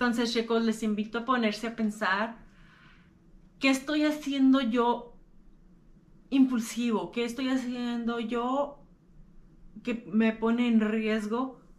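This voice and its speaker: A woman speaks at a very slow pace with long, frequent pauses, her fairly high pitch held in fairly even intonation. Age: 30s. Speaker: podcaster sharing lived experience of mental illness. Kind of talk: personal talk to camera.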